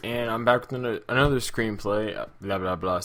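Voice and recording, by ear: Mumbling in a put-on character voice, a man with medium pitch talks at a fairly quick pace.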